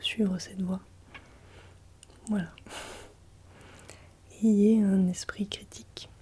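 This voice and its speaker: A soft-spoken woman of medium pitch uses a gentle tone with monotone, flat intonation. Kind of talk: ASMR advice talk to camera. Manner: soft-spoken, gentle.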